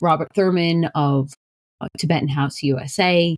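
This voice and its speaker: A woman with a strong New York accent, very deep and low in pitch, at a moderate pace. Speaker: shaman and spiritual practitioner. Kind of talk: podcast self-introduction.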